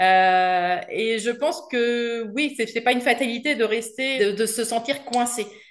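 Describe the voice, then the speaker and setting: A woman speaks very slowly in a fairly high voice against a quiet background. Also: ordinary pitch variation. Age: 40s. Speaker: garden centre salesperson retraining as copywriter. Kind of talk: interview testimony. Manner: hesitant, many fillers.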